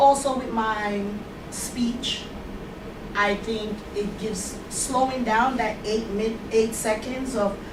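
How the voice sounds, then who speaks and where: A woman's fairly high voice with a Jamaican accent, very slow and monotone, with audible room echo and noticeable background noise. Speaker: hospitality supervisor in training. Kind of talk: classroom speaking exercise.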